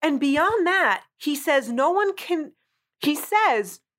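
Animated and high-pitched, a woman with a North Jersey accent swings her pitch very widely. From New Jersey. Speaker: podcast host. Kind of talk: casual chat.

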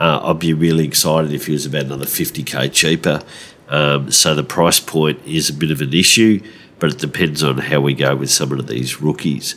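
Fairly even intonation marks this voice with an Australian accent, heard over noticeable background noise. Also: man, very deep, low pitch for a man, fairly quick pace. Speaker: fantasy football podcast host. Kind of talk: casual chat. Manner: hesitant with many fillers.

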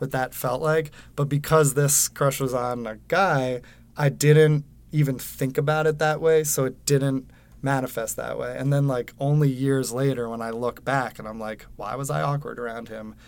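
With an American accent, a man talks in an ordinary speaking voice at medium pitch, keeping a moderate pace and fairly even intonation on a very clean recording with a silent background. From Westchester, New York. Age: 30s. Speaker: podcast host and TV writer. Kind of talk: casual conversation. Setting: recording studio booth.

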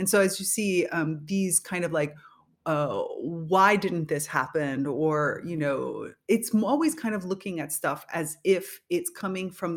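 Speaking with a Spanish accent at a moderate pace, a woman of fairly low pitch uses lively intonation. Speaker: podcast host and leadership coach. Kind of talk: solo podcast monologue.

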